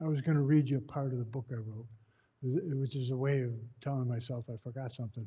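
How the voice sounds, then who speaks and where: Somewhat breathy, with a dark, mellow tone and an American accent, the voice moves at a fairly quick pace with fairly even intonation over a quiet background. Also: man. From Buffalo, New York. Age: 70s. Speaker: advocate and author, former elected official. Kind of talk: talk to community audience. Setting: room with live audience. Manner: casual, conversational with hesitations.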